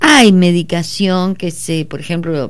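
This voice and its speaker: This woman talks at a fairly slow pace. Nothing else is audible beyond her speech. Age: 60s. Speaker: psychologist. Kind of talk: radio interview.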